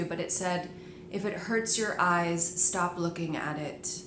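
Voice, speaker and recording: Monotone, flat intonation at a very slow pace, with noticeable background noise. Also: woman. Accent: American. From New Jersey. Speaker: yoga teacher. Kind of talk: casual video blog talk to camera.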